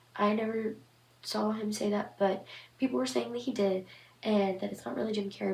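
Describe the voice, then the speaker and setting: A woman speaks over noticeable background noise. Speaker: horror story channel host. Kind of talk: casual commentary to camera.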